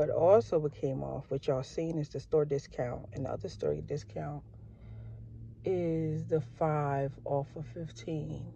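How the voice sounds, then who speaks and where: A woman at a fairly slow pace, dry with no echo, over light background noise. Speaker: couponing YouTuber. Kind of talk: shopping haul vlog. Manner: lower energy than usual. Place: car. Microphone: phone near.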